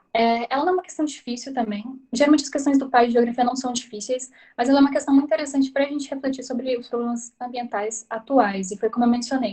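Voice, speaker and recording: A woman's high-pitched voice moves at a fairly quick pace, its pitch varying in an ordinary way. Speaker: tutor. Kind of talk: tutorial. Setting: video call. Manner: fast.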